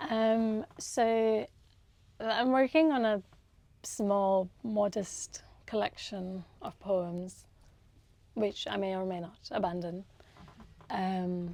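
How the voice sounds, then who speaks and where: Long pauses come often. The delivery is very slow throughout. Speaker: novelist. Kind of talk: book event conversation. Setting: live event.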